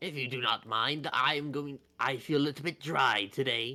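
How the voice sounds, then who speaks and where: A man puts on a character voice, pitched in the medium range. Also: moderate pace. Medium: actual play. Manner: formal, polite.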